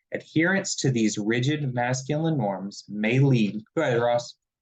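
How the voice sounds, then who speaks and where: A man with a Southern US accent speaks with ordinary pitch variation. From South Carolina. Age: 30s. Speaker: mental health peer supporter and nonprofit director. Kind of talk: webinar presentation.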